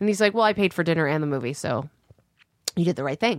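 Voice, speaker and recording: A woman with a Canadian accent talks at a very fast pace, fairly low in pitch and with lively intonation. Her voice sounds dry and close, without echo. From Canada. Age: 30s. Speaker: actor and writer. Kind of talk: casual chat.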